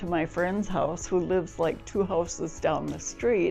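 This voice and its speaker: With music in the background, a woman speaks at a fairly slow pace and fairly low pitch, her intonation fairly even. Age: 80s+. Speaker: hip replacement patient. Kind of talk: patient testimonial interview answer.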